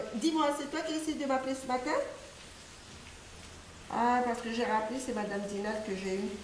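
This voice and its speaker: At a moderate pace, a woman speaks in a high voice with ordinary pitch variation, with audible room echo and noticeable background noise. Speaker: customary village chief. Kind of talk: phone call; documentary interview.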